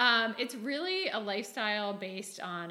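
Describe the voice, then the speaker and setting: The room echo is audible and background noise is noticeable. A woman speaks at medium pitch with ordinary pitch variation. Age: 40s. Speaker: entrepreneur, sales team leader. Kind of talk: interview podcast.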